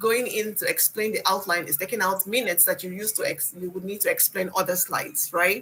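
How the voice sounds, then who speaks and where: A woman with a non-native accent speaks at a fairly quick pace with hardly any pauses. Her medium-pitched voice has a bright, sharp tone and ordinary pitch variation. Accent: has a foreign. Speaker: instructor. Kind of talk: one-on-one presentation coaching. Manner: fast; repetitive, halting restarts.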